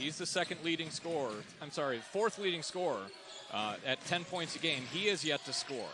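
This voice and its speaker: A man's fairly high, lively voice at a fairly quick pace, with noticeable background noise. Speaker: play-by-play announcer. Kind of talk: live commentary. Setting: arena broadcast.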